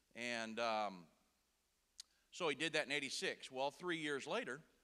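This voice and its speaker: In a Texas accent, a man speaks with a bright, sharp tone. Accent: Texas twang. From Indiana. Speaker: preacher and broadcaster. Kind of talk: sermon. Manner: casual.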